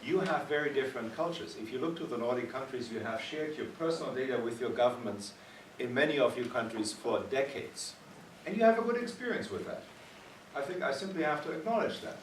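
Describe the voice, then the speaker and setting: A man with a German accent at a very fast pace, fairly high in pitch and full of very wide pitch swings, amid audible room echo and noticeable background noise. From Germany. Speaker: physician and ethics panelist. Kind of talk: panel discussion. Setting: conference meeting. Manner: animated.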